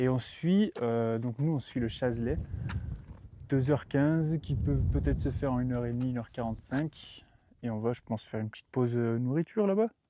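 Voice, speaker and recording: This man has a dark, mellow tone at a medium pitch. He talks at a fairly quick pace. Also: ordinary pitch variation. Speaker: hiking vlogger. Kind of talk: vlog commentary. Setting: outdoors on mountain trail.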